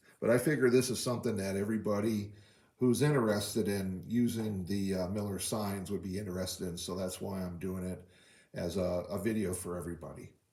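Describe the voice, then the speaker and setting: A man with a dark, mellow tone and fairly low pitch talks at a fairly quick pace with ordinary pitch variation. Audible room echo surrounds him. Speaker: diorama hobbyist YouTuber. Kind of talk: tutorial. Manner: effortfully keeping voice up; halting, many fillers.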